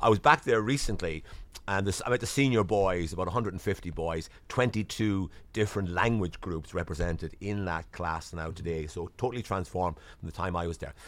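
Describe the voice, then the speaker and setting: On a very clean recording with a silent background, a man with a Waterford Irish accent speaks at a very deep, low pitch and a fairly quick pace, with ordinary pitch variation. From Ireland, Waterford. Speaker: diplomat. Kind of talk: interview. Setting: studio.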